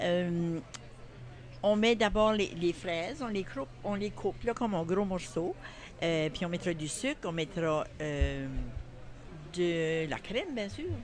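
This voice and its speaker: A woman speaks at a very slow pace with long, frequent pauses. Her intonation is lively. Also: fairly low pitch for a woman. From New Brunswick, Acadian (Kent County). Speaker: grandmother leading a cooking workshop. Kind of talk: cooking demonstration. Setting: farmers market.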